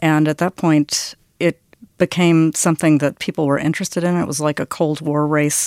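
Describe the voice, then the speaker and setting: The delivery is flat and monotone, recorded dry and close with no echo. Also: woman, very deep, low pitch for a woman, moderate pace, very clean recording, silent background. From US South. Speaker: oboist and author. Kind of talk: interview.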